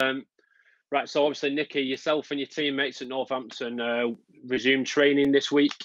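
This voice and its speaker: Speaking fairly quickly with a Lancashire accent, a man talks at a fairly high pitch with fairly even intonation, the sound dry and close with no echo. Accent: Bolton. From northern England, Bolton. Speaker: sports interviewer. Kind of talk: interview.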